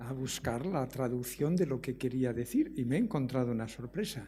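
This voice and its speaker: A man speaks at a moderate pace with a Galician accent and ordinary pitch variation. His voice is somewhat breathy with a dark, mellow tone. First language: Galician (speaking Spanish). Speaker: economics professor. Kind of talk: lecture. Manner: hesitant, with many fillers.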